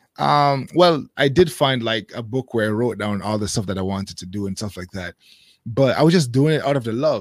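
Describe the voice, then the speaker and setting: A man's pitch swings very widely. The recording is very clean, with a silent background. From Jamaica. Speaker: YouTube creator living in Japan. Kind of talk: casual interview chat. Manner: fast talker.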